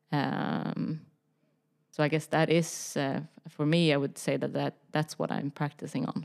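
A woman's very deep, low pitch with vocal fry, at a fairly slow pace in a monotone, flat intonation. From Sweden (Stockholm), teen years in Texas. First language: Swedish. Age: 20s. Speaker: fashion industry professional. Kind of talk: interview. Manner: halting, many fillers.

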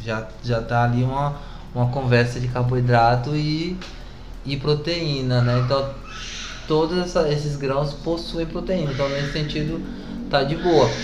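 Over noticeable background noise and audible room echo, a man with a fairly high pitch speaks fairly slowly and evenly, with long, frequent pauses. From Brazil, southern Bahia. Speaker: artist and teacher. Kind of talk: casual chat.

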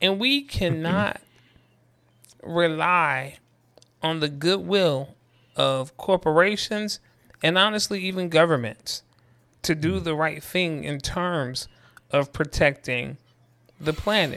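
In a very clean recording with a silent background, a man with a fairly high pitch and a bright, sharp tone speaks at a very slow pace with ordinary pitch variation and long, frequent pauses. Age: 40s. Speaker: podcast co-host. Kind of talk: panel discussion.

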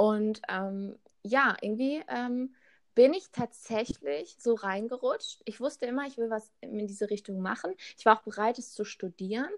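A plain, everyday voice from a woman, fairly high in pitch with ordinary pitch variation and a fairly slow pace, on a very clean recording with a silent background. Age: 20s. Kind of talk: casual chat.

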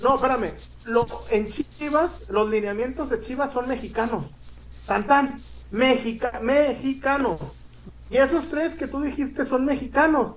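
Speaking at an extremely high pitch with ordinary pitch variation, a man moves at a fairly slow pace marked by long, frequent pauses. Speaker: sports podcast host. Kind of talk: casual chat. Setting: live stream.

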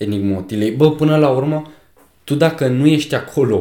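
Quick-paced and lively in intonation, a man with an ordinary speaking voice talks at a fairly high pitch. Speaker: podcast co-host. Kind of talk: casual chat.

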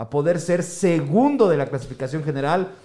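A man talks at a moderate pace in an animated tone with very wide pitch swings. Noticeable background noise runs behind him. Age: 50s. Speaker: podcast host. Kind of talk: football analysis chat.

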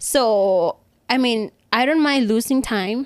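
Speaking with a Thai accent, a woman uses a fairly high pitch and ordinary pitch variation. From Thailand, Bangkok. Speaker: rooftop climber and photographer. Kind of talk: casual interview chat.

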